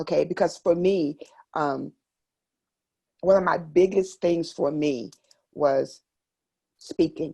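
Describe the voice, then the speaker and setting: A woman speaks at a fairly low pitch with a dark, mellow tone and vocal fry. Her pace is very slow, with fairly even intonation and long, frequent pauses. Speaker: military spouse and entrepreneur. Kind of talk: podcast interview.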